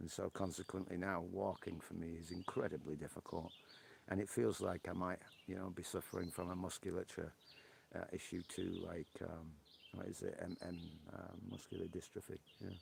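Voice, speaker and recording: The speaker has a Yorkshire accent and fairly even intonation. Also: man, very deep, low pitch for a man, moderate pace. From northern England, Yorkshire. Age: 60s. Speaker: live streamer. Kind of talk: casual chat. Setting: outdoors on a porch.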